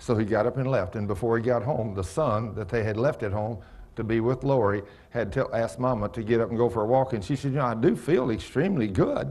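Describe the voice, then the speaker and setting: A man speaks at a very fast pace with ordinary pitch variation. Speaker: pastor. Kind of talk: sermon. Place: church.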